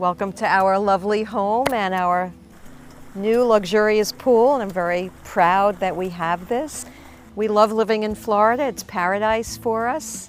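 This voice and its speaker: Speaking fairly slowly in a New York accent, a woman uses a medium pitch with ordinary pitch variation. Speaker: retired homeowner. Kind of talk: interview testimonial.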